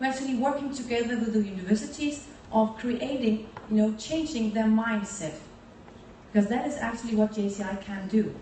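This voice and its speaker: In a fairly high pitch with ordinary pitch variation, a woman speaks at a moderate pace amid noticeable background noise and audible room echo. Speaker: youth organization leader. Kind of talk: speech.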